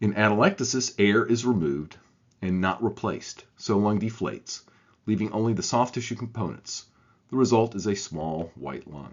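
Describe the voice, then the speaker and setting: A fairly low-pitched man with a Southern US accent, at a moderate pace. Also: ordinary pitch variation. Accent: southern American. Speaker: radiologist teaching. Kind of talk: scripted tutorial.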